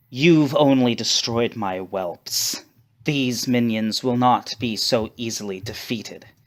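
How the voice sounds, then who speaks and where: A booming put-on character voice from a man, medium in pitch, at a fairly slow pace. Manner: menacing, contemptuous.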